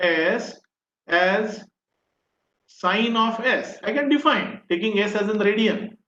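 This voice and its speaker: Raised and projected, a man's high voice carries fairly even intonation. He talks at a very slow pace. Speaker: professor. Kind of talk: lecture. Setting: online video session.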